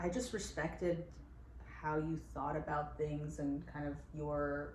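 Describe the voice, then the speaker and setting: The woman speaks at a fairly slow pace, and audible room echo surrounds her voice. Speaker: entrepreneur, company co-founder. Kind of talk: casual chat. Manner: loud.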